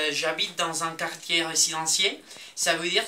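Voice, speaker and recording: A man speaks with a Colombian accent at a fairly high pitch. Noticeable background noise runs under his voice. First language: Spanish (speaking French). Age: 20s. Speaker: university student. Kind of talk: video diary. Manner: halting, with hesitations.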